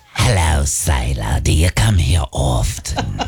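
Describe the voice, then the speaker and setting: A man uses a put-on character voice, raspy and very deep in pitch. He talks at a fairly slow pace over faint music in the background. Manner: flirty, cheesy.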